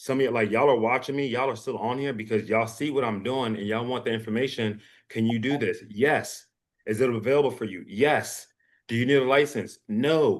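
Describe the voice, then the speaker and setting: A man talks at a fairly quick pace in a medium pitch with an animated tone. The background is quiet. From US, arrived from West Africa at six. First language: West African language. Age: 40s. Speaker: stretch therapist and business owner. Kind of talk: webinar presentation.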